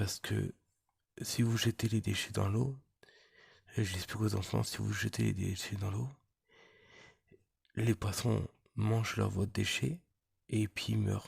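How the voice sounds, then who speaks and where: A soft-spoken man talks at a very slow pace. He leaves long, frequent pauses. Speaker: magnet fishing vlogger. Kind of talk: casual vlog address. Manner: halting, many repetitions.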